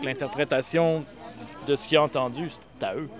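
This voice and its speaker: Noticeable background noise runs under the clip. A man with a fairly high pitch speaks at a moderate pace with ordinary pitch variation. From Eastern Quebec. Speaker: slam poet. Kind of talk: slam poetry performance.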